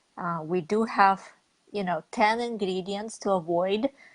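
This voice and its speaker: A woman speaks with a Russian accent. Her intonation stays fairly even. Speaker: network marketing leader. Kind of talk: interview.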